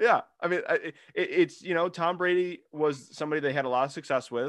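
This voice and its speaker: At a moderate pace and with ordinary pitch variation, a man talks in an unremarkable speaking voice. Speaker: sports podcast host. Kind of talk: casual chat. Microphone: new microphone.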